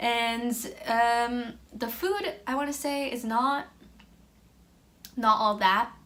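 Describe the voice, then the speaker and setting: A woman with an American accent, high in pitch and bright, sharp in tone, at a very slow pace with long, frequent pauses. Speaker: exchange student. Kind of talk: casual talk to camera. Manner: mellow, monotone.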